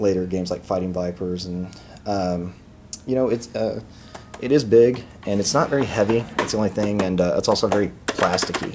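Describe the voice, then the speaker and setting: Over noticeable background noise, a man with an American accent and a very deep, low pitch talks at a fairly quick pace with fairly even intonation. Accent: Texan, noticeable at times. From Texas. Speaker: video game reviewer. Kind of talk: casual product review vlog. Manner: casual, many filler words.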